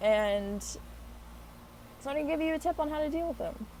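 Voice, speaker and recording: Rattling along at a very fast pace, a woman uses ordinary pitch variation. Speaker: spiritual vlogger. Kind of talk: casual advice vlog. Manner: animated.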